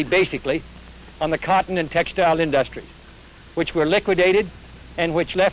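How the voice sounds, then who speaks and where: Through noticeable background noise, a man with an American accent speaks at a fairly quick pace and a high pitch. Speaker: US senator and presidential candidate. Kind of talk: political speech at a press conference. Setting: outdoors at a press conference, old film recording.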